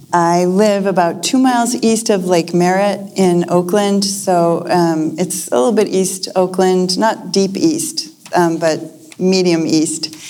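A woman with an American accent speaks very slowly at a medium pitch, with ordinary pitch variation and very even loudness over noticeable background noise. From US Northeast, Lexington, Massachusetts. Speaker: poet. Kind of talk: conversation before a live audience.

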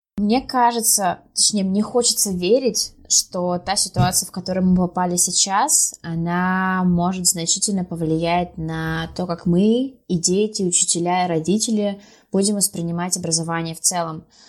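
A moderate pace and ordinary pitch variation from a woman, a normal speaking voice at a medium pitch. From Sverdlovsk region, Russia (Pervouralsk). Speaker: schoolteacher of English. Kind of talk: podcast interview.

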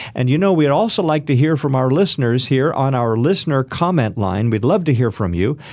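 A man talks at a fairly quick pace at medium pitch. He has an unremarkable speaking voice with very even loudness. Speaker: radio host. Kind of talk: radio interview. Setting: studio.

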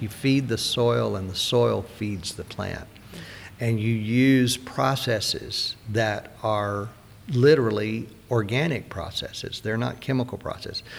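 A man with a Southern US accent speaks at a fairly slow pace and medium pitch, using ordinary pitch variation. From US South, Mississippi. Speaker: organic farmer. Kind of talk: interview.

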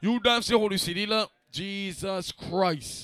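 In a dry, close sound with no echo, a man projects a raised voice with a bright, sharp tone and ordinary pitch variation. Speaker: party host / dancehall MC. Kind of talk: live promo event with hype MC banter. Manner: animated, hyped up, boastful.

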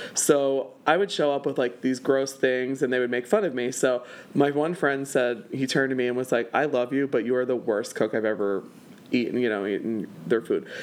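Speaking at a moderate pace and medium pitch with ordinary pitch variation, a man has an ordinary speaking voice. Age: 30s. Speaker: event producer and burlesque performer. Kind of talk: casual interview chat. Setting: home.

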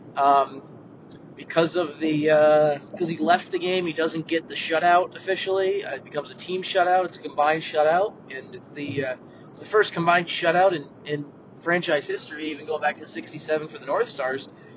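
Over noticeable background noise, a man talks at a fairly quick pace in a fairly high pitch, his intonation fairly even but his loudness swinging widely. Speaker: hockey writer, co-host. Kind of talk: casual sports chat podcast.

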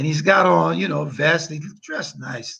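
A man's fairly high, bright, sharp voice with vocal fry at a fairly slow pace. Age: 60s. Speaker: attorney and legal analyst. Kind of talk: casual chat.

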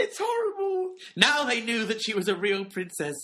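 A man with a high pitch raises and projects his voice at a moderate pace, his intonation lively over noticeable background noise. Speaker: podcast co-host. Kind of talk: casual chat.

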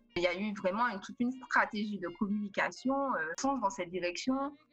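A woman speaks at a medium pitch and a fairly quick pace. Noticeable background noise runs underneath. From Martinique. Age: 20s. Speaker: IT project manager. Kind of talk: webinar interview.

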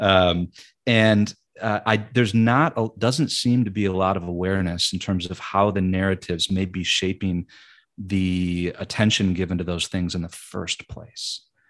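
Very deep and low, this man's voice carries an American accent and fairly even intonation. The recording is very clean, with a silent background. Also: moderate pace. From Michigan, US Midwest. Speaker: author. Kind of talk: podcast interview.

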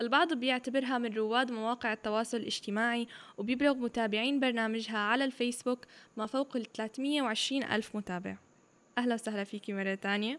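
A fairly high-pitched woman at a moderate pace, her intonation fairly even. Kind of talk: interview; scripted intro and outro.

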